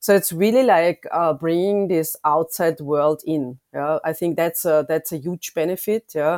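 At a fairly slow pace with hardly any pauses, a woman speaks in a German accent, recorded very cleanly over a silent background with a dry, close sound and no echo. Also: fairly low pitch for a woman, ordinary pitch variation. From Austria. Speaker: consumer insights lead. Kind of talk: interview.

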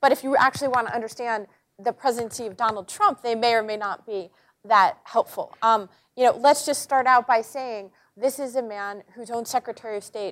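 Speaking at a fairly quick pace with ordinary pitch variation, a woman uses a normal speaking voice on a very clean recording with a silent background. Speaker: journalist and columnist. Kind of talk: panel talk. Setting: auditorium with live audience. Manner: humorous, conversational.

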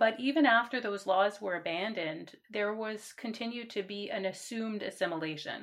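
A normal speaking voice from a woman with a Canadian accent, fairly high in pitch with ordinary pitch variation, at a moderate pace with hardly any pauses. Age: 40s. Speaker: university administrator. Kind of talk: interview.

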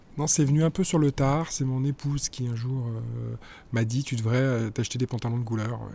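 A man speaks at a moderate pace in a medium pitch with fairly even intonation. His tone is dark and mellow, and somewhat breathy. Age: 50s. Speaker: communications director. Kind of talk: interview. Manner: halting.

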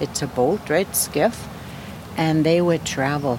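There is noticeable noise behind the speech. A woman talks in a very deep, low voice. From Fort Chipewyan, northern Alberta, Canada. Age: 60s. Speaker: First Nation elder. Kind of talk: interview. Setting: at her home.

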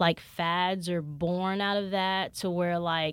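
An ordinary speaking voice from a woman, fairly low in pitch, with fairly even intonation and a very clean recording over a silent background. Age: 20s. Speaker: podcast host. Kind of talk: solo podcast monologue, casual chat.

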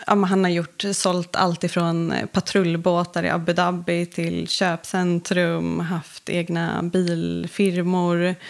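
A woman's fairly low, monotone, flat voice at a very slow pace with hardly any pauses. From Stockholm, Sweden. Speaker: entrepreneur and magazine founder. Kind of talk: interview. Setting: podcast studio.

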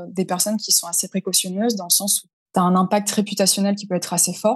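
A woman speaks with a somewhat breathy voice. Her intonation is monotone and flat. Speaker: freelance LinkedIn communications consultant. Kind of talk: interview.

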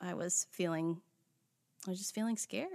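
A woman in a normal speaking voice, fairly low in pitch, at a moderate pace, in a dry, close sound with no echo and a quiet background. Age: 30s. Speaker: podcast host and family therapist. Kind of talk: casual chat.

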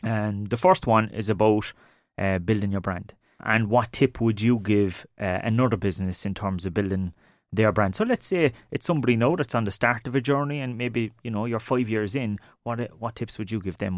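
A man with an Irish accent, fairly low pitch and moderate pace. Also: ordinary pitch variation, very clean recording, silent background. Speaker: podcast host. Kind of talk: interview. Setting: studio.

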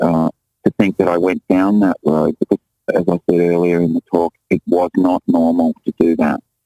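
With music in the background, a man with a very deep, low pitch is heard in a dry, close sound with no echo. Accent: Australian. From Australia. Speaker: musician and visual artist. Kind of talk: interview.

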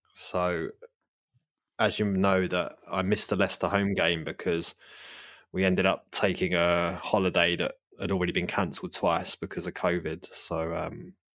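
A man with a London accent speaks in a very deep, low voice. His intonation stays fairly even. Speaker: podcast host. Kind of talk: casual chat.

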